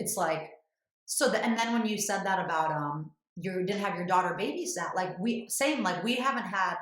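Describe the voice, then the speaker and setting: A woman talks in a normal speaking voice at a moderate pace. Her intonation is lively. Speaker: podcast host. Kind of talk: podcast conversation.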